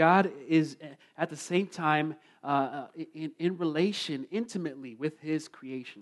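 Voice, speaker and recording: At a fairly slow pace, a man talks in an ordinary speaking voice, fairly high-pitched, with ordinary pitch variation. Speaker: sermon interpreter. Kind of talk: interpreted sermon. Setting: church with congregation.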